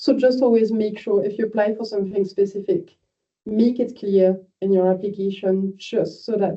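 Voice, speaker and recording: Speaking at a moderate pace with a French accent, a woman keeps a medium pitch and fairly even intonation. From France. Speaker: university admissions manager. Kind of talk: online information session. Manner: informal, hesitant with fillers.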